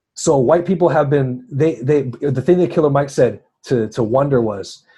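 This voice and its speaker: Speaking at a fairly slow pace, a man uses a fairly high pitch with ordinary pitch variation and a dark, mellow, somewhat breathy tone. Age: 40s. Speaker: panelist in discussion. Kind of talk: heated panel discussion. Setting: group call. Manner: animated.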